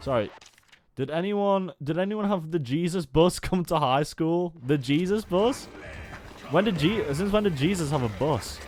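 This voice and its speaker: With music in the background, a man speaks at a high pitch and a moderate pace with lively intonation. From Stoke-on-Trent, England. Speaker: video game streamer. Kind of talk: casual live-stream commentary while gaming.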